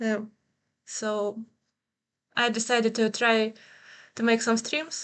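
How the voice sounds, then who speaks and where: Speaking with a non-native accent, a woman uses a fairly high pitch and monotone, flat intonation. Her pace is very slow, with long, frequent pauses. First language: Ukrainian. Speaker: streamer and artist. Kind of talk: livestream chat while drawing. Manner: halting.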